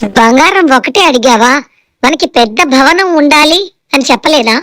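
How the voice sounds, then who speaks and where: The pace here is fairly slow. It is delivered in a put-on character voice. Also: woman, high pitch for a woman. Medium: read story. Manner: sharp, bossy.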